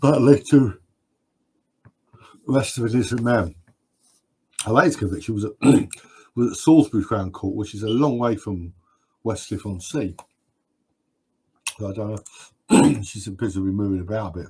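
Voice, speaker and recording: A man with a British accent speaks at a moderate pace in a fairly low, somewhat breathy voice with a dark, mellow tone. His loudness swings widely, his pitch varies in an ordinary way, and he takes long, frequent pauses. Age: 60s. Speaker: live stream host. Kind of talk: live stream Q&A chat. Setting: live stream. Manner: halting with frequent repetitions.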